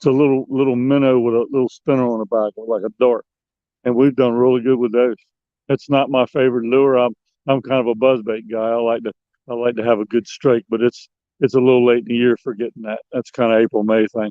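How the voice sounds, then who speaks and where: A man talks fairly quickly at medium pitch in a monotone, flat intonation. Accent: American. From Maryland Eastern Shore, Dorchester County. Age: 60s. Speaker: fishing guide and angler. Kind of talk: casual interview. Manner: halting, repeats words.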